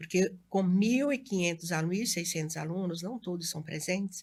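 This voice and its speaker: On a very clean recording with a silent background, a woman talks at a fairly quick pace. Her voice is somewhat breathy. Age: 60s. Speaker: educator and local election candidate. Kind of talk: interview.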